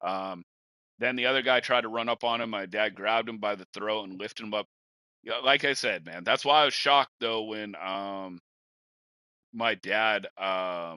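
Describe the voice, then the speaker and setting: A man with a Washington State accent speaks at a moderate pace and fairly low pitch, with ordinary pitch variation and a bright, sharp tone. The sound is dry and close with no echo, against a quiet background. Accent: rural Washington. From rural eastern Washington. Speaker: podcast host. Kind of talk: casual chat.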